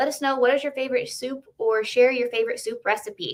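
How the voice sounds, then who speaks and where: Here a woman talks at a fairly quick pace. Her pitch moves with ordinary variation. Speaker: counseling institute host. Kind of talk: weekly announcements video. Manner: fast.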